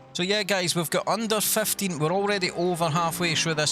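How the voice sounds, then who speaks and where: A man with a Scottish accent and ordinary pitch variation, over noticeable background noise. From Scotland. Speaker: sim racing commentator. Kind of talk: live commentary. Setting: live stream.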